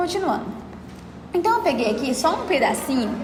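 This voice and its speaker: There is an audible room echo and noticeable background noise as a woman speaks. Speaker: study group lecturer. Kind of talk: lecture. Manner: fast; halting.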